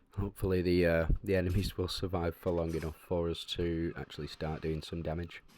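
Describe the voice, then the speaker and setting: A man with a very deep, low pitch talks quietly at a fairly quick pace. The recording is very clean, with a silent background. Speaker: gaming video creator. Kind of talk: gameplay commentary. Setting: on holiday, home recording. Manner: hesitant, many fillers.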